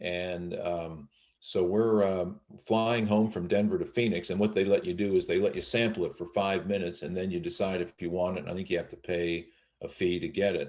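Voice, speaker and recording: A man's very deep, low voice with an American accent, at a fairly quick pace against a quiet background. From Northern Virginia, US (DC area). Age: 60s. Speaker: college sports play-by-play broadcaster. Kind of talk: interview, casual storytelling. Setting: video call.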